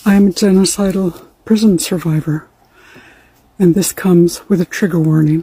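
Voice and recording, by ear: A woman's fairly low, dark, mellow voice with a husky, rough edge, fairly even intonation and a moderate pace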